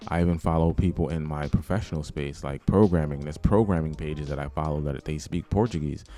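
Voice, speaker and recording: A man with a New York accent talks very fast with hardly any pauses. His pitch is very deep and low, his tone dark and mellow. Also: ordinary pitch variation. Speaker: YouTuber, language learning vlogger. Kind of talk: casual vlog tutorial. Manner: casual, with many fillers.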